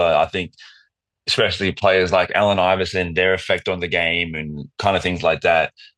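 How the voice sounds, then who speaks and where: A man talks fairly quickly in an Australian accent. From Australia, Wollongong. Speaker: professional basketball player. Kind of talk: casual chat.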